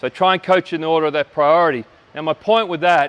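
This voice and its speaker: Recorded with a dry, close sound and no echo, a man with an Australian accent speaks at a fairly high pitch with ordinary pitch variation. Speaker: basketball coach. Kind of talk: coaching clinic lecture. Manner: loud.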